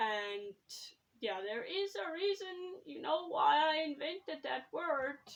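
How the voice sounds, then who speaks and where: Speaking very slowly, a woman with a South African accent lets her pitch swing very widely. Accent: Afrikaans-accented English. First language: Afrikaans. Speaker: YouTuber and writer. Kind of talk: casual vlog talk. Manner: hesitant, with fillers.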